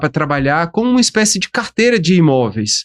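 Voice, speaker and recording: This man's voice sits high for a man and swings very widely in pitch. He talks at a moderate pace, and the sound is dry and close with no echo. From Brasília, Brazil (born in Aracaju, Sergipe). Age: 50s. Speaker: professor and business founder. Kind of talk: podcast interview. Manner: casual.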